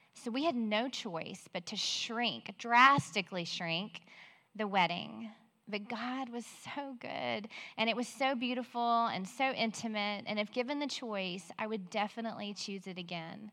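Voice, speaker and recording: With an American accent, a woman talks at a fairly slow pace in a fairly high pitch, her tone bright and sharp and her pitch variation ordinary. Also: very clean recording, silent background. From Central Texas. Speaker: women's Bible study speaker. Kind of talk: Bible teaching talk. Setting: stage in near-empty auditorium, livestreamed.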